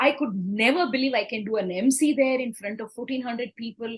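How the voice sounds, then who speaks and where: A woman's high, animated voice with an Indian accent and ordinary pitch variation. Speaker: corporate trainer and speaker. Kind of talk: interview storytelling. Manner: halting.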